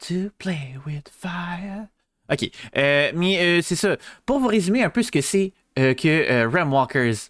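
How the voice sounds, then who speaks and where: Very slowly, a man with a Quebec accent speaks at a high pitch with lively intonation. The recording is very clean with a silent background and a dry, close sound with no echo. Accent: Québécois. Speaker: VTuber streamer. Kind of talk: live stream chat. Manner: hesitant, many fillers.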